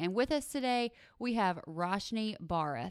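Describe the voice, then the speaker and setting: A woman with a Southern US accent speaks with lively intonation on a very clean recording with a silent background. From US South, southern Mississippi. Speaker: podcast host, digital producer. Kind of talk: interview.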